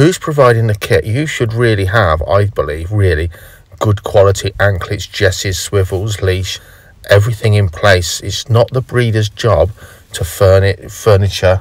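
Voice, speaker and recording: Here is an ordinary speaking voice from a man, fairly low in pitch. His pitch varies in an ordinary way. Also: moderate pace, dry sound with no echo. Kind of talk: tutorial. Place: car.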